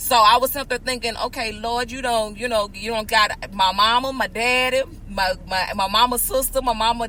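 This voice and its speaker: Loud and animated, a woman talks at a fairly quick pace with a high pitch. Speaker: podcast host. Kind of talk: casual chat.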